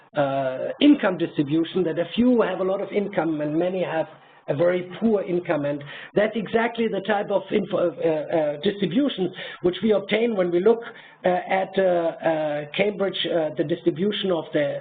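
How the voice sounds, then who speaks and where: Someone speaks at a moderate pace with a German accent. The pitch varies in an ordinary way. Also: man. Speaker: professor. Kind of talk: webinar Q&A. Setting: webinar. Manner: halting, many fillers.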